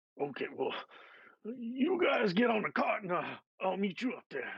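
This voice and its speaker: A man puts on a character voice that is raspy and extremely high-pitched, with very wide pitch swings. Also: moderate pace. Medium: actual play. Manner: creaky, folksy.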